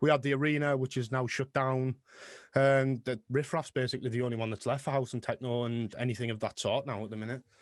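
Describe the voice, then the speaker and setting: With a strong Middlesbrough accent, a man at a medium pitch talks at a very fast pace in a monotone, flat intonation, in a very clean recording with a silent background and a dry, close sound with no echo. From northern England, Middlesbrough. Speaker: music producer and DJ. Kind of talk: interview. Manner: casual.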